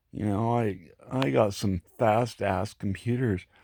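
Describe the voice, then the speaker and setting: A man with an American accent speaks in a dark, mellow tone in a very clean recording with a silent background. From Florida, US South. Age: 60s. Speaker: vlogger. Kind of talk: monologue rant. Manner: halting, repetitive.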